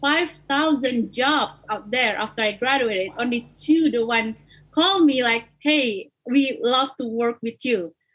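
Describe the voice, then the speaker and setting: A high-pitched woman with an Indonesian accent, at a moderate pace with ordinary pitch variation. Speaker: coffee company founder. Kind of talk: interview.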